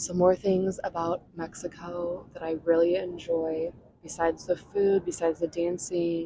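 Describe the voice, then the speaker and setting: A soft-spoken woman's fairly low, dark, mellow voice, monotone and flat, at a fairly slow pace. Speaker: ASMR creator. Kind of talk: ASMR travel storytelling to camera. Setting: outdoors, beach.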